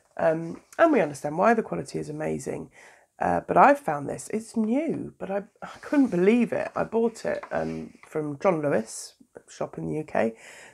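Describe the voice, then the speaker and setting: Speaking with a British accent at a moderate pace, a woman's voice swings widely in loudness. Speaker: doula and planner vlogger. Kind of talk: casual vlog tutorial. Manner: hesitant, many fillers.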